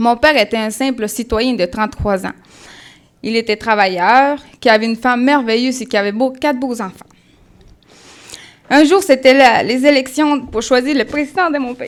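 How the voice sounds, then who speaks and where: A woman with a slight Colombian accent speaks at a moderate pace in a high pitch with ordinary pitch variation. Her speech has long, frequent pauses. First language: Spanish (speaking French). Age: 20s. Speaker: church member giving testimony. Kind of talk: testimony. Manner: halting.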